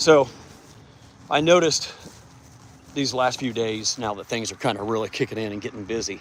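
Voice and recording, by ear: At a moderate pace, a man talks with fairly low pitch, a fairly bright tone and fairly even intonation.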